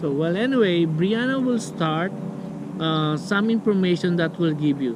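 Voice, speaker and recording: Over noticeable background noise, a man with a non-native accent talks at a fairly slow pace, his fairly high voice carrying lively intonation. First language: not English. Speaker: vlogger. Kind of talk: casual vlog talk. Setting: outdoors. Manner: halting.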